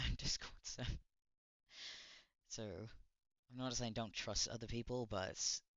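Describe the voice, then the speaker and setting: A man mumbles at a moderate pace and medium pitch. His intonation is monotone and flat. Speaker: streamer reacting to videos. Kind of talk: casual livestream reaction commentary. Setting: livestream. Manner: mumbling; halting, many restarts.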